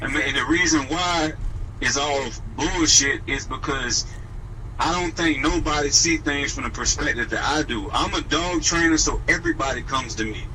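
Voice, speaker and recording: Noticeable background noise and audible room echo surround a man as he speaks. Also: moderate pace. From New Orleans, Louisiana. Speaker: dog trainer. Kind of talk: radio interview.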